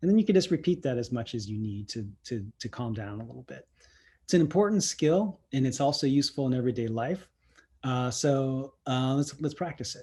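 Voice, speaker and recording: The voice is somewhat breathy and dark, mellow in tone, moving at a fairly quick pace with lively intonation and big swings in loudness. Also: man, medium pitch for a man. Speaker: CERT volunteer trainer. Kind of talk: online training presentation. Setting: virtual training session. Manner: halting, many fillers.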